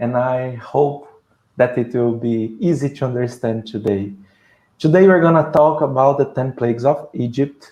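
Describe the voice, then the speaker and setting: This man speaks with a Brazilian Portuguese accent. His tone is dark and mellow. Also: medium pitch for a man, ordinary pitch variation, moderate pace. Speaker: spiritist speaker on the Bible. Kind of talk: lecture.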